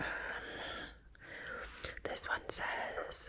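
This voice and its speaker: A woman whispers at a very slow pace, with noticeable background noise around her. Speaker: ASMR creator. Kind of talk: ASMR reaction talk to camera. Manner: whispered.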